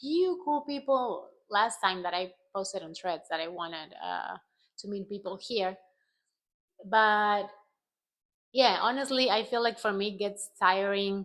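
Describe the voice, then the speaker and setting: With a Spanish accent, a woman speaks at a fairly slow, medium pitch with lively intonation, a bright, sharp tone, big swings in loudness and long, frequent pauses, in a very clean recording with a silent background. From Argentina. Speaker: travel vlogger. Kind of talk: casual vlog monologue.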